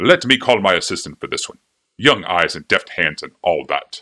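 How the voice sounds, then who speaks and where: A man at medium pitch performs a put-on character voice at a moderate pace, with big swings in loudness. The recording is very clean over a silent background. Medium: read story. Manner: obsequious, nervous.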